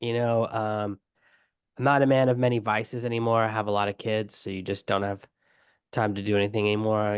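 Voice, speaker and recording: A man with a fairly low pitch speaks at a fairly quick pace with fairly even intonation over a quiet background. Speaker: online business coach. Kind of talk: podcast interview. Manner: fast.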